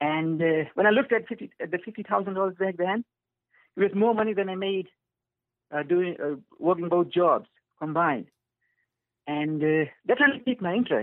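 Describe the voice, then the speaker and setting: A man speaks with a high pitch and lively intonation. He takes long, frequent pauses. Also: moderate pace. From Fiji. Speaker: real estate investor. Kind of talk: interview.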